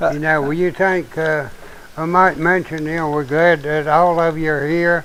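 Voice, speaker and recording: This man speaks in a monotone, flat intonation with an Appalachian accent. His pitch is fairly high, and his pace is moderate. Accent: Appalachian Southern US. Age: 70s. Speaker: show host, preacher. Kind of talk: casual chat. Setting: live stream.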